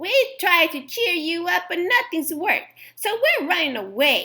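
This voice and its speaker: A woman puts on a character voice, extremely high in pitch, delivered at a moderate pace. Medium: read story.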